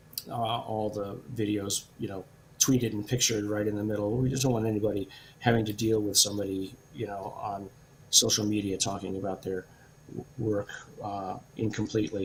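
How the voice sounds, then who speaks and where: Speaking at a fairly quick pace, a man uses a fairly low, somewhat breathy voice with monotone, flat intonation. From Britain. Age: 60s. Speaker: professor and scientist. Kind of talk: interview Q&A. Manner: hesitant, many fillers.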